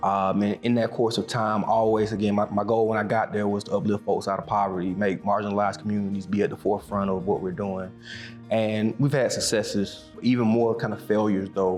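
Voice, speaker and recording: Over music in the background, a man with a Southern US accent speaks at a fairly quick pace in a fairly low pitch with fairly even intonation. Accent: Southern US (Georgia). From Macon, Georgia, USA. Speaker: county commissioner. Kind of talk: interview answer.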